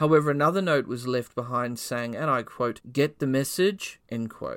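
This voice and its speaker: Here a man with an unremarkable speaking voice talks at a medium pitch with ordinary pitch variation. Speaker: true crime podcast host. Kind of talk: true-crime narration. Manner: measured, grave storyteller pacing.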